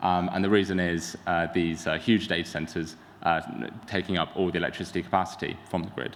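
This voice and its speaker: A very deep, low-voiced man with a London accent, monotone and flat, at a fairly quick pace. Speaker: tech startup founder. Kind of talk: conference talk. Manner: hesitant, many fillers.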